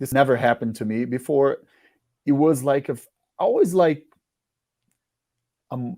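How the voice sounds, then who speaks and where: In a Portuguese accent, the voice has a dark, mellow tone, a moderate pace, ordinary pitch variation, big swings in loudness and long, frequent pauses. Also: man, fairly high pitch for a man. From Brazil. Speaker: musician. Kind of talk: interview. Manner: halting.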